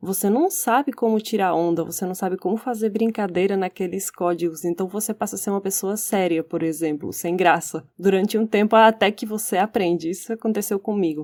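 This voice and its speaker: On a very clean recording with a silent background, a woman speaks at a fairly quick pace with hardly any pauses. Her medium-pitched voice shows ordinary pitch variation. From Spain, Barcelona. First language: Catalan or Spanish (speaking Portuguese). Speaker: podcast co-host. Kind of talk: casual discussion.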